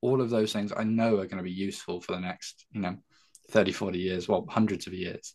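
A man with an English accent and fairly even intonation. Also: fairly low pitch for a man, fairly quick pace. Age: 20s. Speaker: careers speaker for young people. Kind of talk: interview.

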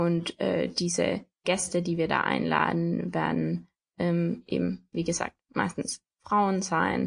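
A woman at a very slow pace, with very even loudness throughout. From Austria, Tyrol. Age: 20s. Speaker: podcast co-host, student, blogger. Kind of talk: casual chat.

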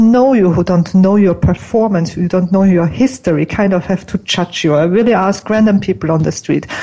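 Through noticeable background noise, a woman of medium pitch talks at a moderate pace with ordinary pitch variation. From Austria. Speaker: image consultant. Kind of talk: interview. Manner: animated.

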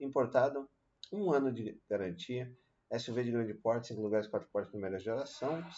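A man with a plain, everyday voice speaks at a medium pitch and a moderate pace, with ordinary pitch variation. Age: 40s. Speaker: car youtuber. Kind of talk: casual video commentary. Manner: casual with many fillers.

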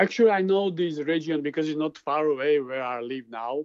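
In a dry, close sound with no echo, a man with a Slovak accent speaks at a fairly high pitch with fairly even intonation. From eastern Slovakia, Michalovce area. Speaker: filmmaker. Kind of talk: interview.

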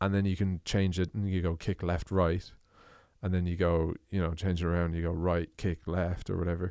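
On a very clean recording with a silent background, a man with an Irish accent speaks fairly quickly in a very deep, low pitch with monotone, flat intonation. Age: 20s. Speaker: podcast host and drummer. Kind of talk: casual chat.

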